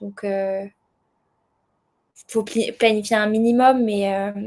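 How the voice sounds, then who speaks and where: Her pitch runs fairly high. The woman speaks at a fairly slow pace. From southern France. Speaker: world traveller, association founder. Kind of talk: podcast interview. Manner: hesitant, many fillers.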